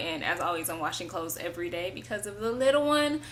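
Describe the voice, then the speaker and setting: A woman's medium-pitched voice with very wide pitch swings and audible room echo. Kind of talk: testimony. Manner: loud; casual, hesitant with many fillers.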